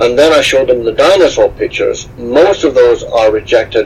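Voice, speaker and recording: Noticeable background noise fills the clip. A man speaks over it at a moderate pace. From Scotland, west coast (Stranraer). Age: 60s. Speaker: explorer and author. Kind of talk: interview.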